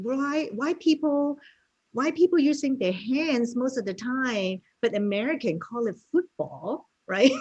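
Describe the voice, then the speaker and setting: A woman with a Cantonese accent speaks at a very slow pace, her high pitch carried by lively intonation. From Hong Kong. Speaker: real estate broker and association president. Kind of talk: interview.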